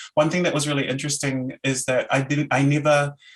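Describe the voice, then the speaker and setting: With a New Zealand accent, a man talks at a very fast pace in a fairly high pitch. His somewhat breathy voice sits on a quiet background. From New Zealand, Auckland. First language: Samoan. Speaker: academic lecturer. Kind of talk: Q&A discussion.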